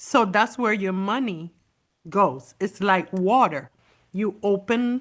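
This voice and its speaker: Speaking very slowly with a non-native accent, a woman uses lively intonation at a medium pitch against a quiet background. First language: not English. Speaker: beauty consultant presenter. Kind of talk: online beauty class.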